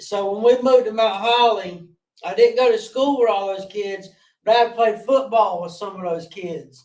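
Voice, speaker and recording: With a strong Southern US accent, a man talks at a high pitch and a moderate pace with ordinary pitch variation. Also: big swings in loudness. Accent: strong rural Southern (country). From North Carolina, Gaston County. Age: 40s. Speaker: guest in recovery sharing addiction story. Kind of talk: interview testimony. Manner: halting, with many fillers.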